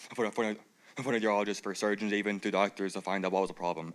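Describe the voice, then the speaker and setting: A man with an American accent talks at a very fast pace. His pitch is fairly low. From Georgia, US. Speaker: speaker who stutters and clutters. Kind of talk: personal speech. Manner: fast with stuttering repetitions.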